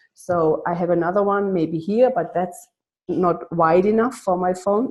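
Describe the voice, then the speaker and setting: Speaking with a non-native accent, a woman keeps a moderate pace. Her pitch is fairly low. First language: not English. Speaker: coaching client. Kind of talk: casual chat. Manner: halting.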